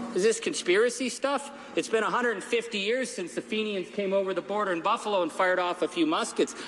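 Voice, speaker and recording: Over noticeable background noise, a man talks very fast in a high pitch. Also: ordinary pitch variation. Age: 50s. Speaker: politician. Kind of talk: parliamentary speech. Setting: parliament chamber. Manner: animated.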